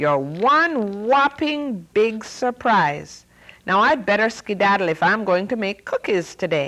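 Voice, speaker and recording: A woman puts on a shrill character voice at medium pitch and a fairly slow pace. The recording is very clean, with a silent background. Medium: read story. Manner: excitable.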